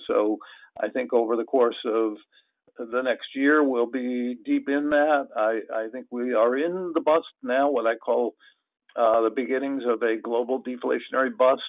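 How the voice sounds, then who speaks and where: Against a quiet background, a man talks at a fairly slow pace with fairly even intonation, the sound dry with no echo. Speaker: guest. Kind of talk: webinar presentation. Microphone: video call.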